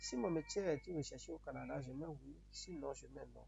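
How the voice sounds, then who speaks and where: With music in the background, a man speaks at a fairly slow pace in a Beninese accent. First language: Yoruba (speaking French). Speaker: YouTuber giving immigration advice. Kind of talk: tutorial. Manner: repetitive, halting.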